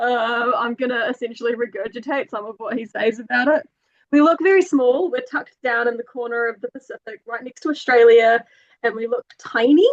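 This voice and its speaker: In a New Zealand accent, the speaker goes at a fairly quick pace with ordinary pitch variation and big swings in loudness. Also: woman, high pitch for a woman. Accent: authentic New Zealand. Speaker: travel company marketing and hiking guide. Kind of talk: webinar presentation.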